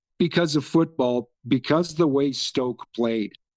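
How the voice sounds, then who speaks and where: With a Canadian accent and a normal speaking voice, a man talks at a fairly slow pace in a fairly high pitch with lively intonation, the sound dry and close with no echo. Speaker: football fan. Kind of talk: casual chat.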